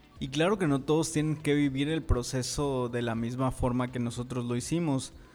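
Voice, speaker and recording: A man talks in an unremarkable speaking voice. His pace is moderate and his pitch is medium. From Mexico, Tabasco. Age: 30s. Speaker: podcast co-host, youth organization leader.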